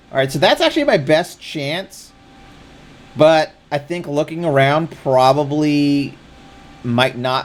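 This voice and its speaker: Over noticeable background noise, a man talks at a medium pitch with ordinary pitch variation. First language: not English. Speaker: streamer. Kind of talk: live gameplay commentary. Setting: live stream.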